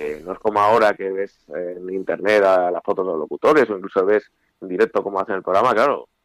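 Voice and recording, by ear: At a fast pace, a man speaks low in pitch with ordinary pitch variation, the sound dry and close with no echo.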